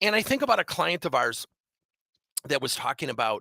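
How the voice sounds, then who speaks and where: An animated, energetic man speaks at a moderate pace in a raised, projected voice with a bright, sharp tone. His pitch swings very widely, and the sound is dry and close with no echo. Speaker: business owner and motivational speaker. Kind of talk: motivational presentation. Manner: energetic, hyper.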